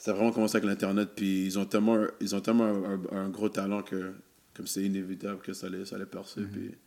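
A man speaks very fast with a fairly low pitch. His tone is dark and mellow, his intonation monotone and flat. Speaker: rapper and web series host. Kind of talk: casual chat.

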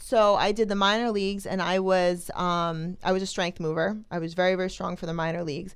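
This woman with an American accent talks at a fairly quick pace, with hardly any pauses and medium pitch. Her intonation is fairly even, and audible room echo surrounds her voice. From New Jersey, Toms River. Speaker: strongwoman athlete. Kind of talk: casual chat.

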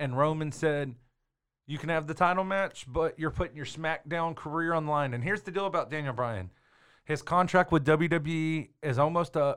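With an American accent and an ordinary speaking voice, a man talks at a moderate pace and a fairly high pitch with ordinary pitch variation, recorded very cleanly against a silent background. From Texas. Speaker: podcast host, wrestling personality. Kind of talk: casual chat.

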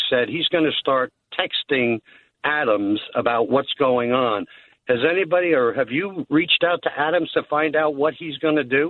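A man talks at a moderate pace with an unremarkable speaking voice. His pitch is fairly high, with ordinary variation. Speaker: caller. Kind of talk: casual chat. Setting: phone call.

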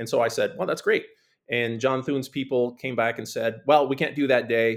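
A plain, everyday voice: a man with an American accent, fairly even intonation and a fairly quick pace. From US Midwest, small town. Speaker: political candidate, retired military lawyer. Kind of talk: interview.

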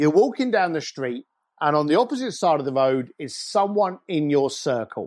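A London accent at a moderate pace with very wide pitch swings, against a quiet background. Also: man, fairly high pitch for a man. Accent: English (London-area). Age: 50s. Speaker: luxury concierge company founder. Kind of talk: interview conversation. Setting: remote recording from his garage.

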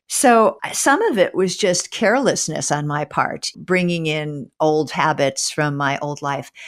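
A fairly slow pace with ordinary pitch variation. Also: woman, very deep, low pitch for a woman, hardly any pauses. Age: 60s. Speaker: author and former English professor. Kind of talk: interview.

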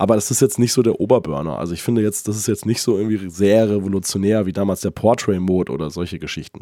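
Talking very fast with hardly any pauses, a man uses a fairly low, raspy voice with a dark, mellow tone and ordinary pitch variation. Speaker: tech podcast co-host. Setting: remote recording, separate locations.

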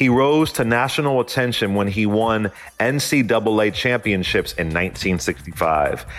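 The voice has lively intonation, very even loudness and a moderate pace, with noticeable background noise. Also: man, medium pitch for a man. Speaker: news anchor. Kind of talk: short radio news narration, history-today segment read from script. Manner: formal; even, steady newsreader pace.

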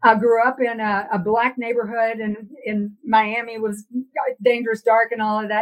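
A woman speaks with an American accent at a moderate pace. Her fairly high voice stays in monotone, flat intonation. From Texas. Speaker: philosophy professor. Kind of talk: interview conversation.

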